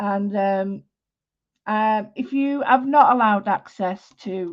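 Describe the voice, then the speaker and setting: Woman with a strong Manchester accent and ordinary pitch variation, over a quiet background. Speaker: art teacher. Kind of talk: live-stream drawing tutorial. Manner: chatty, informal, with many fillers.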